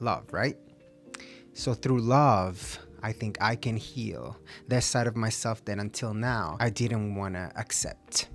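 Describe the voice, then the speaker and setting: Music plays in the background as a man talks at a very slow pace. His pitch is medium, with ordinary variation. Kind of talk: casual talk to camera.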